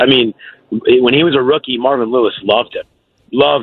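He talks at a medium pitch and a fairly quick pace. The man has a normal speaking voice. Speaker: NFL beat reporter. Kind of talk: casual sports interview.

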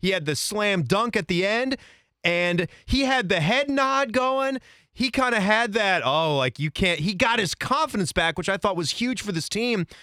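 A man's high, bright, sharp voice, raised and projected, with an animated tone, lively intonation and very even loudness at a moderate pace, dry and close with no echo on a very clean recording with a silent background. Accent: American. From Northern Virginia. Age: 30s. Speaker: sports podcast host. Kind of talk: casual chat.

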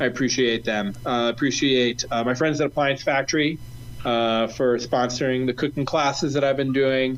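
Using a plain, everyday voice, a man with an American accent talks at a moderate pace in a medium pitch, with fairly even intonation and very even loudness. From Ohio, US Midwest. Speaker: chef. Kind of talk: casual chat.

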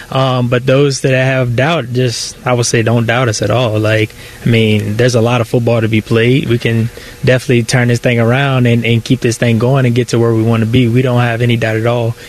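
Behind noticeable background noise, a man at medium pitch keeps his loudness very even and his intonation monotone and flat. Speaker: football player. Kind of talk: interview. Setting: team facility. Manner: laid-back, casual, hesitant with fillers.

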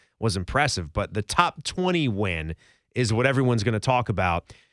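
Upbeat and energetic, a speaker with an American accent talks at a moderate pace with lively intonation, in a very clean recording with a silent background and a dry, close sound with no echo. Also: man. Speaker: college basketball podcast host. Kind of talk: casual sports podcast banter, with radio-style patter. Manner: upbeat, energetic, chatty.

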